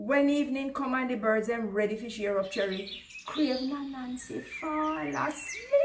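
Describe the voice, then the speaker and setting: Very wide pitch swings in a Jamaican accent. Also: woman. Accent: Jamaican Creole dialect. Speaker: storyteller. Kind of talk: children's folk story reading.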